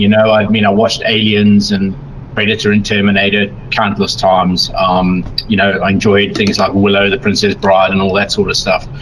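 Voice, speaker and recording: Against noticeable background noise, a man with a South African accent speaks at a moderate pace in a fairly low voice with monotone, flat intonation. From South Africa, Durban, Natal coast. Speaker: miniature painting tutorial producer. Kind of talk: casual interview chat. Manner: hesitant, many fillers.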